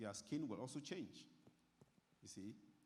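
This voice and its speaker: A man talks fairly quickly, and room echo can be heard. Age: 60s. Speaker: doctor giving health talk. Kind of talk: health talk to church audience. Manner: repetitive, halting.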